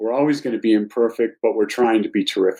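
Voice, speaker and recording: At medium pitch and with fairly even intonation, a man talks in an unremarkable speaking voice. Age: 60s. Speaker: novelist. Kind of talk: podcast interview.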